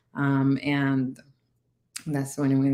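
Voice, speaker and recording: A woman speaks with a Spanish accent and a very deep, low pitch. Her tone is dark and mellow, with monotone, flat intonation. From Dominican Republic. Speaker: navy veteran and cannabis entrepreneur. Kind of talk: interview testimony.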